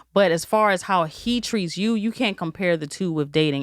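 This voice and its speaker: This is a normal speaking voice from a woman, pitched fairly low with ordinary pitch variation. The recording is very clean and the background silent. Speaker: podcast host. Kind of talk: casual conversational podcast talk.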